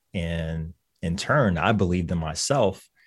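A man with an American accent and a very deep, low pitch is heard in a very clean recording with a silent background. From Lynchburg, Virginia. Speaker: physician. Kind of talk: radio interview, informative. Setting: office, interviewed on radio.

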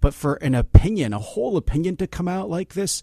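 A man with an ordinary speaking voice talks at a fairly quick pace with lively intonation. The sound is dry and close with no echo, and the background is quiet. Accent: American. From Philadelphia, US. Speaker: law professor. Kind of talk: interview.

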